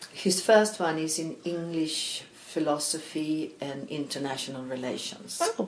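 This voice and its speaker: Over noticeable background noise, a woman with a Swedish accent and a very deep, low pitch talks fairly slowly with lively intonation. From Sweden (Stockholm, grew up in Malmö). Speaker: knitwear designer and knitting teacher. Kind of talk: casual interview chat.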